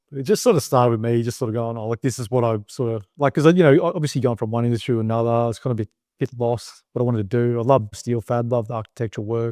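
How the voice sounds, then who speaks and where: A man with an Australian accent talks at a very fast pace with fairly even intonation and a dark, mellow tone, in a dry, close sound with no echo. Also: medium pitch for a man, hardly any pauses. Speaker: business owner. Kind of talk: interview. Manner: casual, filler-heavy.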